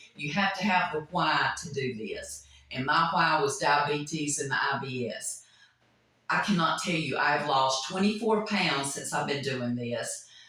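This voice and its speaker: Over noticeable background noise and audible room echo, a woman with a very deep, low pitch speaks at a fairly slow pace with lively intonation. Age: 60s. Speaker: nurse. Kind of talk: testimony.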